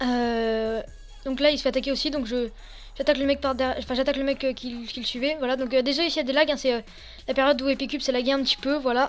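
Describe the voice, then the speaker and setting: Music plays in the background. A woman talks very fast at a high pitch, in a monotone, flat delivery. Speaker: gaming youtuber. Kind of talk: gameplay commentary. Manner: halting.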